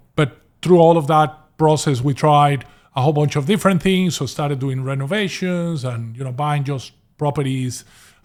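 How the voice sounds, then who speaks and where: A man's fairly high voice at a moderate pace, with ordinary pitch variation, on a very clean recording with a silent background. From Venezuela. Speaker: property investor. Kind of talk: podcast interview. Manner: hesitant with repeated words.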